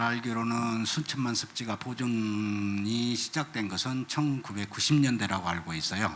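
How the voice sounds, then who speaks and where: A man speaks at a medium pitch with ordinary pitch variation, over noticeable background noise. He goes at a fairly slow pace with hardly any pauses. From South Korea, Jeolla region. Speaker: ecology educator. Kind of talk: panel talk at concert.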